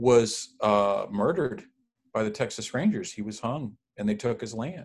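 Very wide swings in pitch from a somewhat breathy male voice. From Mexican-American family, US. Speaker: former minister. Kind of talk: casual chat.

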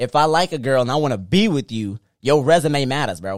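The pace is moderate. The intonation is lively. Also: man. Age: 20s. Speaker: podcast host. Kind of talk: casual chat. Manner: animated.

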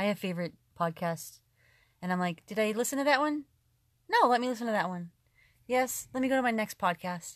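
Despite long, frequent pauses, a woman speaks at a fairly quick pace with lively intonation. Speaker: podcast co-host. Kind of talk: casual chat. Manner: loud; fast.

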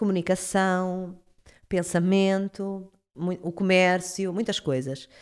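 On a very clean recording with a silent background, a woman speaks at a very slow pace in a medium pitch. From Portugal, Cacém (Lisbon area). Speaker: astrologer. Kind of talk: casual interview chat.

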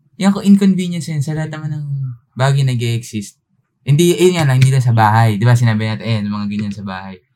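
Talking at a very fast pace, a man with a medium pitch and a dark, mellow tone uses very wide pitch swings and big swings in loudness. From Philippines, Tagalog region. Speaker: podcast co-host. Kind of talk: casual chat.

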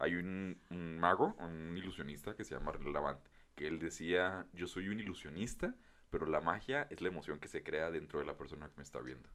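Very deep, low male voice with ordinary pitch variation, moderately paced. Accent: Mexican. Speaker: podcast co-host. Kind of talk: casual chat.

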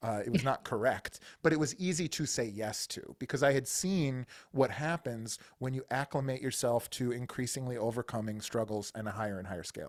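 Here a man has an unremarkable speaking voice at a medium pitch, with lively intonation. He talks at a fairly quick pace on a very clean recording with a silent background. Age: 40s. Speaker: business coach and army veteran. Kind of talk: interview.

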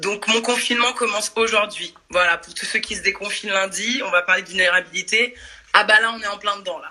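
In a plain, everyday voice, a woman talks at a fairly quick pace with medium pitch, fairly even intonation and big swings in loudness. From Paris suburbs, France. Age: 40s. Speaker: dance and fitness workshop leader. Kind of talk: casual chat. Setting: video call.

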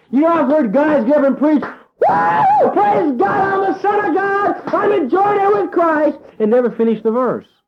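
The speaker barely pauses at all while the pitch swings very widely. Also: man, extremely high pitch for a man, moderate pace, very even loudness. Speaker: preacher. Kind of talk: sermon. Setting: church with congregation. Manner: animated, call-and-response, exhorting the congregation to shout amen; folksy, humorous, jokes with congregation.

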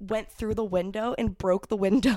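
In an American accent, this is an ordinary speaking voice with ordinary pitch variation on a very clean recording with a silent background. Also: woman. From Ohio, US Midwest. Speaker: adult film performer. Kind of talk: casual chat.

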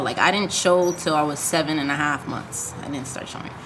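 With an American accent, a woman talks at a moderate pace and with fairly even intonation, amid noticeable background noise and audible room echo. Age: 20s. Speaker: brain injury survivor, jiu-jitsu practitioner, podcast co-host. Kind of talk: casual interview chat.

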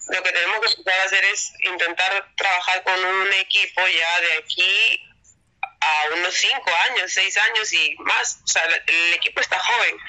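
This woman has a plain, everyday voice, medium pitch, fairly even intonation, very even loudness and a fairly slow pace. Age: 30s. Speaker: professional volleyball player. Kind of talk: interview.

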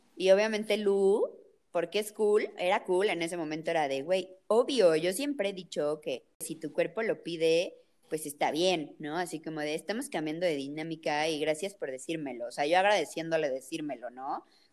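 A woman with a Mexican accent speaks at a moderate pace in a fairly low pitch, with ordinary pitch variation. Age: 20s. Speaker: podcast co-host. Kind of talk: casual chat.

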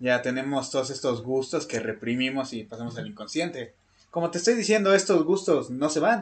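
Speaking at a fairly quick pace, a man with an ordinary speaking voice uses lively intonation at a medium pitch. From Mexico. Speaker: podcast co-host. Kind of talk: casual chat.

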